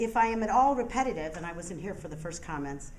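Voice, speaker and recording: Lively intonation from a woman at medium pitch and a fairly quick pace, with audible room echo. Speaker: public commenter at a meeting. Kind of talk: public comment speech. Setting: public board meeting. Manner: forceful, indignant.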